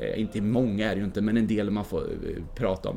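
This man's tone is dark and mellow. He speaks at a fairly quick pace. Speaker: mountaineer and filmmaker. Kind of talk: casual interview. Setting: hotel lobby.

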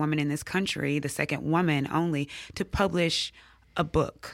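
Speaking in a Mississippi accent, a woman uses a very deep, low pitch with ordinary variation at a moderate pace, on a very clean recording with a silent background. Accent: Southern US (Mississippi). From US South, Jackson, Mississippi. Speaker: English professor. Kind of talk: interview.

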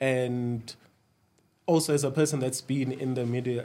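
A man with an unremarkable speaking voice talks at a moderate pace, with a medium pitch and fairly even intonation. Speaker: reality TV star. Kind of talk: casual chat.

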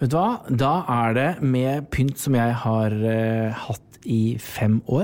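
A man at a very slow pace and medium pitch, with ordinary pitch variation and very even loudness. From Norway, rural farm upbringing. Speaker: interior design podcast co-host. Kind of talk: casual chat.

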